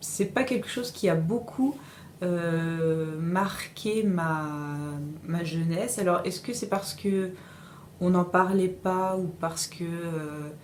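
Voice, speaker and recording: A woman's fairly low voice at a very slow pace, with ordinary pitch variation, audible room echo and noticeable background noise. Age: 40s. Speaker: interviewee. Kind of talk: interview testimony. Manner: halting, many hesitations.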